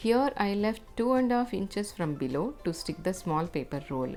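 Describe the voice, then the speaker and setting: With music in the background, a woman in a Telugu accent talks at a fairly slow pace with lively intonation. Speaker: craft channel creator. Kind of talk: tutorial. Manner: calm, instructional.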